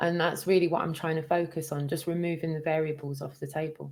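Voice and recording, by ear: Fast and low-pitched, a woman talks with a slightly mellow tone and little pitch movement.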